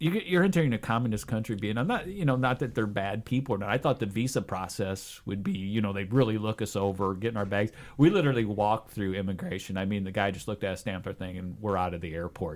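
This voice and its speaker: A man with a Midwestern accent speaks at a medium pitch and a fairly quick pace. His intonation is lively, and the recording is very clean with a silent background. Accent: worst Midwestern. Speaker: adventure traveler. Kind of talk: casual chat.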